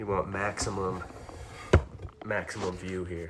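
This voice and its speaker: A man's very deep, low voice in a monotone, flat intonation, with noticeable background noise. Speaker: fitness streamer. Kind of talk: casual live-stream chat. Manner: soft-spoken; relaxed, with many fillers. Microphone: might be a little quiet.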